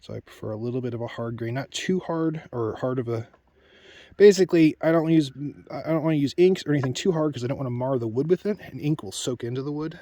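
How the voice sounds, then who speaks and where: A man talks at a very fast pace with a fairly high pitch. His pitch varies in an ordinary way, and the sound is dry and close with no echo. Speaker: woodcarver. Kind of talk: tutorial. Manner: casual; soft-spoken.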